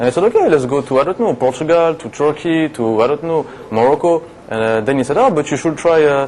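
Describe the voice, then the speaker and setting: Speaking in a French accent, a man goes at a very fast pace with ordinary pitch variation. Noticeable background noise runs underneath. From France, Paris. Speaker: TV show guest, French expat. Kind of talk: casual interview chat.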